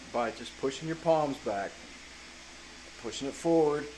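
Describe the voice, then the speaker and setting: A man speaks with a Southern US accent. Noticeable noise sits in the background. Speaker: chainsaw carver. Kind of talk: casual vlog advice talk. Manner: casual, with fillers and self-corrections.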